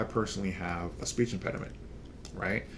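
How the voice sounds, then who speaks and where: This man speaks with vocal fry. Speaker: podcast host. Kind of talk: casual chat. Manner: hesitant, halting.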